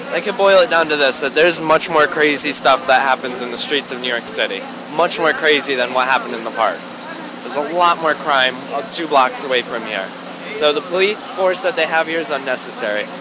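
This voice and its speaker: Over clear music in the background, a man with an American accent talks at a fairly quick pace and fairly high pitch with lively intonation, in a dry sound with no echo. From Virginia. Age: 20s. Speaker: protester; interviewee. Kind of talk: street interview. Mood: earnest, somewhat indignant. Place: street. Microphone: phone near.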